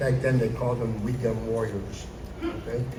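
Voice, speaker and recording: There is noticeable background noise and audible room echo as a man speaks at a moderate pace. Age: 70s. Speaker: Army veteran. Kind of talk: school assembly Q&A. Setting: school assembly with students.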